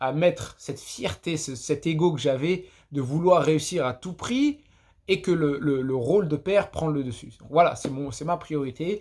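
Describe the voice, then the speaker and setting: A man at a fairly slow pace and fairly high pitch, with ordinary pitch variation, on a very clean recording with a silent background. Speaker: podcaster. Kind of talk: casual monologue. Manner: halting, many repetitions; unscripted, off the cuff.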